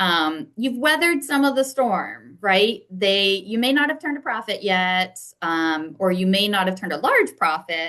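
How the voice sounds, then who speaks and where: Against a quiet background, a woman with a bright, sharp tone and medium pitch speaks fairly slowly, her pitch swinging very widely. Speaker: banker and small business mentor. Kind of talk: online presentation. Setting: online presentation.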